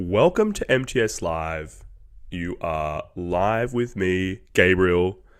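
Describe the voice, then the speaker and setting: Lively intonation marks a man speaking at a very slow pace. The recording is very clean, with a silent background. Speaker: podcast host. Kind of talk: live news show opening. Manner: casual, self-deprecating.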